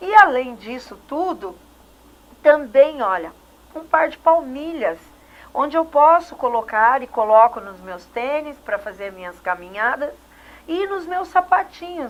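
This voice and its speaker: A woman's high-pitched voice with very wide pitch swings and big swings in loudness, at a fairly slow pace broken by long, frequent pauses. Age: 60s. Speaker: TV host. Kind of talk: TV interview. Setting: TV studio.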